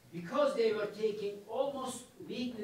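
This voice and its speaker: Speech at a fairly slow pace comes through with audible room echo. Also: man. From Turkey, Kars; Turkey. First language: Turkish. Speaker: history professor. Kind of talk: lecture. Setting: lecture hall with audience.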